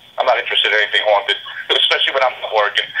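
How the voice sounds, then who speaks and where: Over noticeable background noise, a man with a New York accent speaks very fast. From New York, Brooklyn. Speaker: TV show investigator. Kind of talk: casual chat. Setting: podcast interview.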